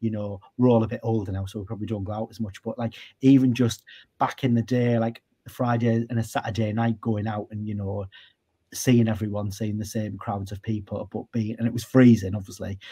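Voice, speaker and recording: With a North East England accent, a man talks at a fairly quick pace in a dark, mellow tone. His voice is somewhat breathy and his intonation monotone and flat. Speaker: radio broadcaster. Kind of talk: interview answer. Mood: relaxed, reminiscing. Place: home room.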